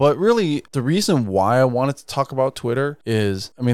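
This man talks at a fairly quick pace with lively intonation in a plain, everyday voice. The recording is very clean, with a silent background. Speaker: podcast host. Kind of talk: casual chat.

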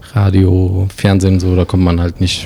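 A man's very deep, low monotone at a fairly slow pace, with noticeable background noise. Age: 40s. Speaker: illustrator and designer. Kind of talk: casual interview.

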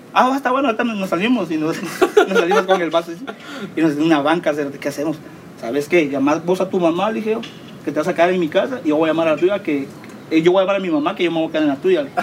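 Over noticeable background noise, a high-pitched man with a Guatemalan accent speaks at a very fast pace with lively intonation. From Guatemala, Villa Nueva. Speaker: podcast co-host. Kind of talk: casual chat. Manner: animated.

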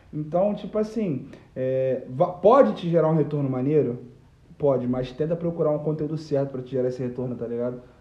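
A man speaks at a fairly quick pace in a fairly high voice with ordinary pitch variation. Noticeable background noise and audible room echo fill the recording. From Brazil, Nilópolis (Rio de Janeiro area). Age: 20s. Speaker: digital marketer. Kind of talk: casual chat.

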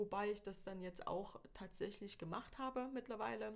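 With an ordinary speaking voice, a woman talks at a moderate pace and medium pitch with fairly even intonation. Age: 40s. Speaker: photographer. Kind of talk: casual interview chat.

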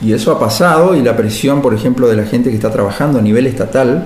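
A man's speech, fairly quick and ordinary in its pitch variation, comes through noticeable background noise and audible room echo. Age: 50s. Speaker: biochemist, geneticist. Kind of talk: interview. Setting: university laboratory. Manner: halting.

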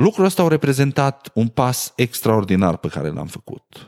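At a fairly slow pace and medium pitch, a man speaks on a very clean recording with a silent background, dry and close with no echo. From Romania, Maramureș (Sighetu Marmației). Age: 30s. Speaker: podcast host. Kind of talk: casual monologue.

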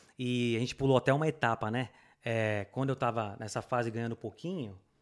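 On a very clean recording with a silent background, a man speaks at a moderate pace and medium pitch in a plain, everyday voice with ordinary pitch variation. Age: 30s. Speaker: immigrant motorcyclist, air-conditioning worker. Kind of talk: casual interview chat.

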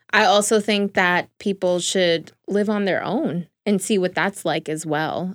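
In a very clean recording with a silent background, a woman speaks at a fairly slow pace with hardly any pauses. She has a normal speaking voice, medium pitch and ordinary pitch variation. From New York City, the Bronx. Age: 20s. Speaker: journalism graduate. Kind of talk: casual chat. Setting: studio.

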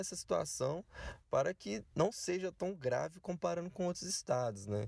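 Over a very clean recording with a silent background, a man with a dark, mellow tone talks at a moderate pace using very wide pitch swings. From Belo Horizonte, Minas Gerais. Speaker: community activist. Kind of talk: recorded voice message.

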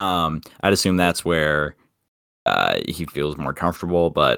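A man speaks in a very deep, low pitch. Vocal fry runs through his voice. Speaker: baseball podcast co-host. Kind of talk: casual chat.

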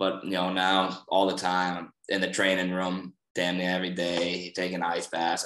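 A man with a Boston accent speaks in a very deep, low pitch. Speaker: college wrestler. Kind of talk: casual chat.

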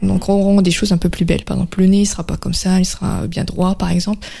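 Her tone is dark and mellow. This woman's voice is somewhat breathy. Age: 20s. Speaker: painter. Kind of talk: interview. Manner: halting.

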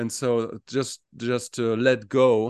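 A man with a German accent speaks at a medium pitch, his voice sounding dry and close with no echo against a quiet background. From Germany. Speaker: podcast co-host. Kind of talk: casual chat. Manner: halting, repeats words.

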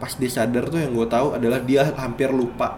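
A man's voice with fairly even intonation and audible room echo. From East Java, Indonesia. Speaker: storyteller sharing a personal experience. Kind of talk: personal horror story narration. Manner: casual, conversational.

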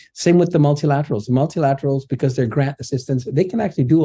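Speaking at a very fast pace against a quiet background, a man has a dark, mellow tone that is somewhat breathy, with ordinary pitch variation. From Indonesia, raised partly in Laos and Thailand. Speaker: development bank official. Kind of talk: interview.

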